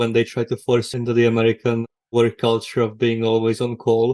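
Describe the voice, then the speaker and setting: The voice has a Czech accent and a dark, mellow tone. It moves at a fairly quick pace. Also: man. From Czech Republic. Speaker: technical writer. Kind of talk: podcast interview.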